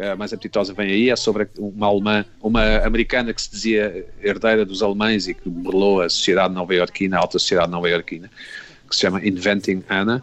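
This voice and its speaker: A man speaks very fast with a fairly low pitch. His intonation stays monotone and flat. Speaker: TV critic. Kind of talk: panel discussion.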